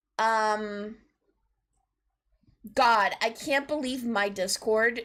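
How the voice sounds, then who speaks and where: A woman's fairly high voice at a very slow pace with fairly even intonation, on a very clean recording with a silent background. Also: long, frequent pauses, very even loudness. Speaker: streamer. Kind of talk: casual chat. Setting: live stream. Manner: calmer than usual, deliberately lowered pitch.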